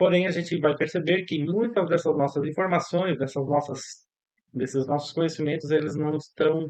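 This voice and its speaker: A man with a plain, everyday voice speaks at a fairly high pitch with fairly even intonation. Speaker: psychologist teaching a course. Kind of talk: online lecture. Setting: online class.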